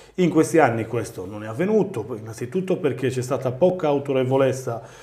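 A man talks fairly quickly. His pitch varies in an ordinary way. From Sardinia. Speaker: mayor and regional election candidate; guest. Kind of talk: political interview. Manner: halting, repeats words. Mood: earnest, persuasive. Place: studio. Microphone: lapel.

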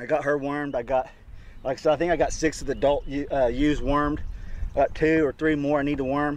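Flat and monotone, a man speaks at a fairly quick pace. The sound is dry with no echo. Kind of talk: casual vlog chat. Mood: relaxed, sometimes distracted. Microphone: phone near.

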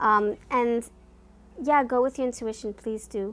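A woman is talking. Her intonation is fairly even. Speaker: tarot card reader. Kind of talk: casual vlog chat. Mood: warm, chatty.

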